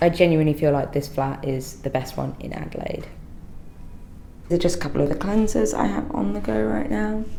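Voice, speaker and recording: A woman at a fairly quick pace, with very wide pitch swings and audible room echo. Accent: London. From London, England. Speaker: doctor and skincare video creator. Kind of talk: casual vlog chat. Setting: at home in her apartment.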